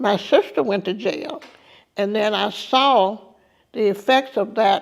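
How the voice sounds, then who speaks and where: A woman with an Alabama accent and a medium pitch speaks at a very slow pace with ordinary pitch variation and long, frequent pauses. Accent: Southern US (Alabama). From US South. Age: 70s. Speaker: civil rights veteran and tour guide. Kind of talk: testimony.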